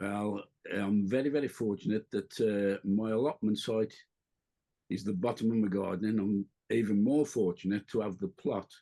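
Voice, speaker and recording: Speaking at a moderate pace, a man uses a fairly low pitch and a dark, mellow tone. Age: 60s. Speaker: allotment gardener, YouTuber. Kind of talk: casual chat. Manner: halting.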